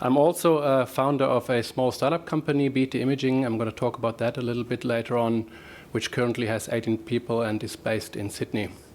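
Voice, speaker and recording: A man speaks at a very fast pace with a German accent. His pitch is medium and his intonation fairly even. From Germany. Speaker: professor. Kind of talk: presentation. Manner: halting, with fillers.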